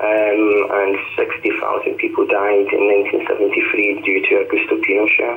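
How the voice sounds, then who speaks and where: A man talks at a moderate pace with hardly any pauses and very even loudness. Noticeable background noise can be heard. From Scotland. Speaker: artist. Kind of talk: radio interview.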